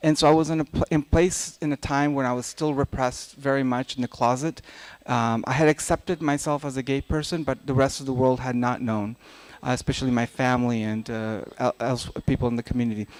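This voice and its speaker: In an Afghan accent, a man talks at a fairly quick pace with fairly even intonation. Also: medium pitch for a man, dry, close sound with no echo. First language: Dari. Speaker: novelist. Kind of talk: panel talk. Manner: halting.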